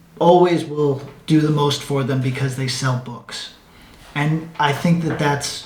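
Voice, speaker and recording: A man's fairly high, monotone, flat voice with audible room echo. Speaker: comic book writer and YouTuber. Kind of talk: casual monologue. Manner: stuttering; rambling, halting with many fillers.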